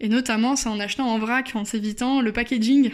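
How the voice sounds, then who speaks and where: Recorded very cleanly against a silent background, a woman with a fairly high pitch speaks at a moderate pace with ordinary pitch variation. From France, Bordeaux. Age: 20s. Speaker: podcast contributor sharing her experience. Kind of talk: personal testimony voice note. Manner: hesitant with fillers.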